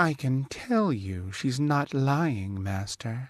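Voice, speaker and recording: Over a quiet background, a man puts on a character voice at medium pitch, speaking at a very slow pace. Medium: read story.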